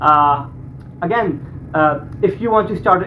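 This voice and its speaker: A man with a non-native accent speaks at a high pitch with ordinary pitch variation. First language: not English. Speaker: YouTuber reacting to videos. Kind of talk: reaction video commentary. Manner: halting, repeats words.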